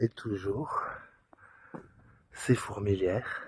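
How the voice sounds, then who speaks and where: Very slowly, a man speaks at a fairly low pitch, the sound dry and close with no echo. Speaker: hiking vlogger. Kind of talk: vlog narration while hiking. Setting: outdoors on a mountain hike. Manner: casual; soft-spoken.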